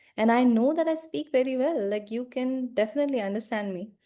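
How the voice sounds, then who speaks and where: Speaking at a fairly quick pace with ordinary pitch variation, a woman with an Indian accent has a dark, mellow tone. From India, small town. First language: Hindi. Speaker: life coach. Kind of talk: personal vlog monologue.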